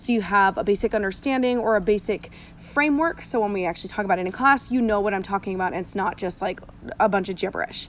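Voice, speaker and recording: Talking at a very fast pace, a woman uses a medium pitch with ordinary pitch variation. Noticeable background noise sits behind her. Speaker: science teacher. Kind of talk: recorded classroom lecture. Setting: outdoors.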